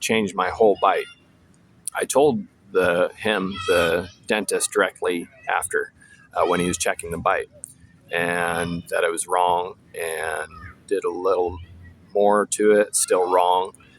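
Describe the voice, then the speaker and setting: There is noticeable background noise. A man talks at a fairly slow pace with long, frequent pauses. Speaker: vlogger. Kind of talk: personal monologue. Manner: halting, many fillers.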